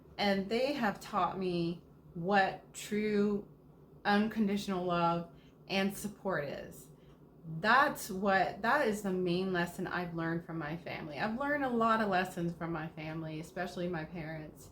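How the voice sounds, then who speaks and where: An animated woman speaks at a fairly slow pace. Her pitch is medium, with ordinary variation. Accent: slight Southern US. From US South, Georgia. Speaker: lifestyle vlogger. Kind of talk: casual Q&A monologue.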